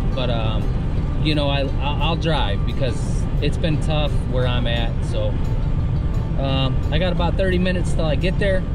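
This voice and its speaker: A man at a fairly slow pace, over loud music in the background. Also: dry sound with no echo. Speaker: fishing vlogger. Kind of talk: casual vlog chat. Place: car. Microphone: phone near.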